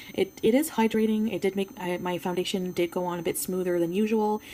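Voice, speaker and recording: A woman speaks in a French Canadian accent at a fairly low pitch. Her pace is very fast. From Quebec. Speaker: beauty YouTuber. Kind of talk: product review. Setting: home filming with ring light. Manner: casual, hesitant with fillers.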